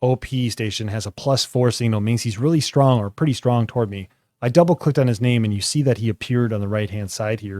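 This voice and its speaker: On a very clean recording with a silent background and a dry, close sound with no echo, a man with a dark, mellow tone speaks at medium pitch and a fairly quick pace, with ordinary pitch variation and hardly any pauses. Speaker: ham radio tutorial youtuber. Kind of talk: tutorial. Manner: fast; casual, with fillers.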